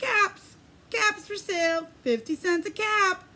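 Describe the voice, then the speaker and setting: A woman puts on a squeaky character voice pitched extremely high, raised and projected. She talks at a fairly slow pace. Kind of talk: read-aloud storytelling for preschoolers. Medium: read story. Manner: sing-song street cry.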